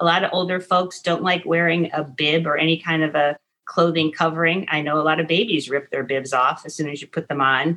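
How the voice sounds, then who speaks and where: Fairly low pitch and ordinary pitch variation in a plain, everyday voice from a woman. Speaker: retired dietitian and grandmother. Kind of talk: casual chat.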